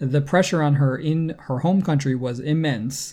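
This man has an American accent, a fairly high pitch, and a dark, mellow tone that is somewhat breathy. His intonation stays fairly even on a very clean recording with a silent background. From United States. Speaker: tennis podcast co-host. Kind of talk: casual chat.

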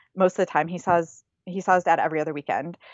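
Speaking with a Midwestern US accent, a woman keeps her pitch fairly low. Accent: US Midwest. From Michigan, near Flint. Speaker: fiber artist. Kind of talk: interview.

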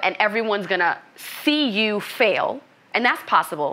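Fairly high in pitch, a woman with an unremarkable speaking voice talks at a moderate pace with ordinary pitch variation. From US Northeast, Brooklyn, New York. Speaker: business coach. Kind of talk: interview.

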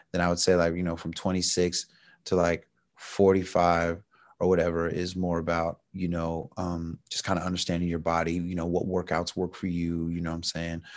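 In an American accent, a man delivers his words at a moderate pace with a very deep, low pitch and monotone, flat intonation. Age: 50s. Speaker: author and jiu-jitsu instructor. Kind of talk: casual interview conversation.

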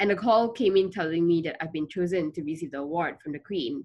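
Speaking at a very fast pace, a woman swings very widely in pitch. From Malaysia, Kuala Lumpur. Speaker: founder of a refugee education charity. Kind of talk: interview.

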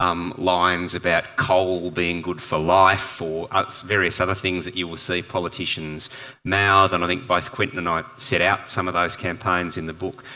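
Speaking at a moderate pace with an Australian accent, a man has a very deep, low pitch and a bright, sharp tone. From Perth, Western Australia. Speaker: environmental campaign leader and author. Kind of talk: panel discussion. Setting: live event with audience. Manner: hesitant, many fillers and repetitions.

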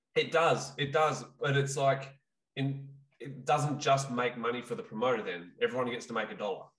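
In an Australian accent, a man speaks at a moderate pace with a fairly high pitch and ordinary pitch variation. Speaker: Muay Thai trainer and podcast co-host. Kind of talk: casual chat.

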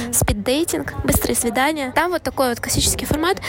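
A woman speaks at a high pitch and a moderate pace with lively intonation. Noticeable background noise is present. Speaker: podcast co-host. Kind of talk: casual chat. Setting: cafe.

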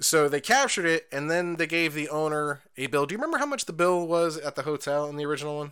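The recording is very clean, with a silent background. A man with a fairly high pitch and a bright, sharp tone talks at a very fast pace. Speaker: podcast co-host. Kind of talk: casual chat. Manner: laid-back, profane.

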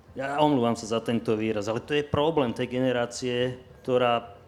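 A man with a medium pitch speaks as music sounds in the background. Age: 60s. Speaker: lawyer. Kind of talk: panel discussion.

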